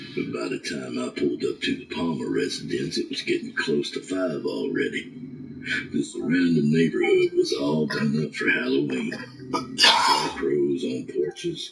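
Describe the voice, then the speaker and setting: A man at a moderate pace against clear background noise. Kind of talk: hard-boiled horror narration. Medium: read story. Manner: blunt, profane, dryly wry.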